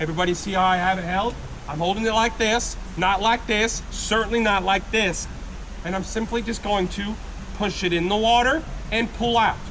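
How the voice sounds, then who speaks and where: A loud, high-pitched man at a moderate pace with fairly even intonation, amid audible room echo and noticeable background noise. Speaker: gold panning instructor at tourist camp. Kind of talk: live demonstration to tour group. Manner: loud, projecting.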